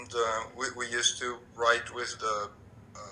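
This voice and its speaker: Noticeable background noise sits behind the voice. The speaker talks with a French accent. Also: man. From France. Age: 50s. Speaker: interviewee. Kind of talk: interview. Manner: halting, frequent repetitions.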